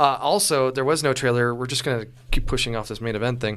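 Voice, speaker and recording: Using a plain, everyday voice, a man talks at a fairly quick pace with a medium pitch and ordinary pitch variation. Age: 30s. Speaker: podcast host. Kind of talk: casual chat.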